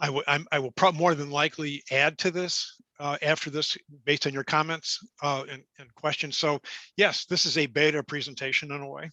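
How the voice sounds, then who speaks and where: A man with an American accent talks at a fairly quick pace in a fairly high, bright, sharp tone, with monotone, flat intonation. His loudness swings widely, and the sound is dry and close with no echo. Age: 70s. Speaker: career coach presenter. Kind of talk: webinar presentation. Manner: halting, many fillers and restarts.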